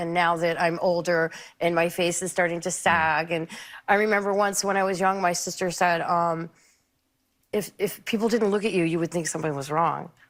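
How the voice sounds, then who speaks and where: Speaking in a flat monotone, a woman has a fairly low-pitched voice. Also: moderate pace, very clean recording, silent background. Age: 60s. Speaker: talk show guest. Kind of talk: talk show conversation.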